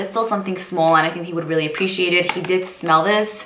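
Speaking very fast in an excited, animated tone, a woman with a fairly low pitch is heard against noticeable background noise. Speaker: beauty vlogger. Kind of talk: casual vlog haul.

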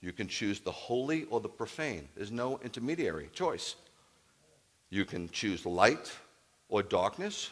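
The speaker is a man with a medium pitch. He talks at a fairly slow pace with very wide pitch swings. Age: 50s. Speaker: rabbi. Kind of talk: sermon. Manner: animated. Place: church. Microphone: headset.

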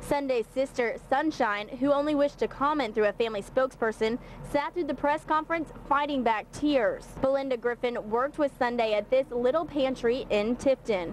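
A woman speaks with a high pitch and very even loudness, hardly pausing at all. Noticeable background noise sits behind her. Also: ordinary pitch variation, moderate pace. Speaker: TV news reporter and fill-in anchor. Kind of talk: TV news reporter delivery.

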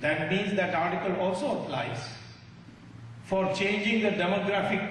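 In a room with strong echo and light background noise, a man with a high pitch speaks at a moderate pace. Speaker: speaker. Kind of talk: public speech. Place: hall. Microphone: podium.

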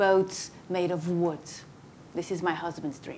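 This is a woman speaking with a Portuguese accent. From Portugal. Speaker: moderator and researcher; moderator. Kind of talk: moderated debate. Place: hall.

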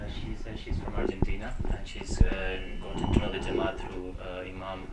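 Loud background noise sits under speech delivered at a moderate pace. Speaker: interpreter. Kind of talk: consecutive interpreting. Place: hall.

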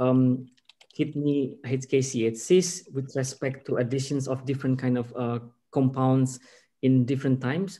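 A man talks at a very slow pace. His tone is dark and mellow. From Indonesia. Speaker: pharmaceutical research scientist; scientist lecturer. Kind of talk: lecture; Q&A answers. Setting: video call. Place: home room. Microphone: video call.

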